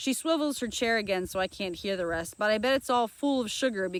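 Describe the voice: The clip is plain reading aloud.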